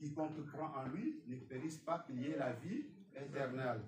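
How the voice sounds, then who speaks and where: The speaker has a non-native accent and lively intonation at a fairly slow pace. Room echo is audible. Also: man. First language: not French (speaking French). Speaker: preacher. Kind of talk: sermon. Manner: halting.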